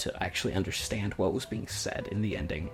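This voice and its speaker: A man speaks quietly in a strained voice while music plays in the background. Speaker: video essayist. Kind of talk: video essay. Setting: home, roommates nearby. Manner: quiet, restrained volume.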